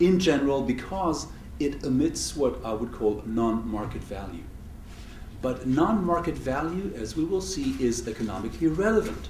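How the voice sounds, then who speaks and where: At a moderate pace, a man with a fairly high pitch talks in very wide pitch swings, with audible room echo and noticeable background noise. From Switzerland. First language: not English. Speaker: economist, university lecturer. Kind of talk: lecture.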